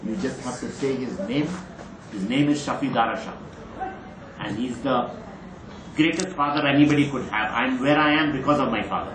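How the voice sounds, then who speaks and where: A man talks fairly quickly in a fairly high voice with ordinary pitch variation, leaving long, frequent pauses. Audible room echo and noticeable background noise surround him. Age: 60s. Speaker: racehorse trainer. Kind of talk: interview. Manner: emphatic, repetitive.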